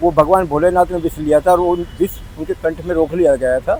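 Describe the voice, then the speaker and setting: The pace is moderate and the intonation fairly even. Background noise is noticeable. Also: man. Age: 60s. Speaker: pilgrim. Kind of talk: street interview.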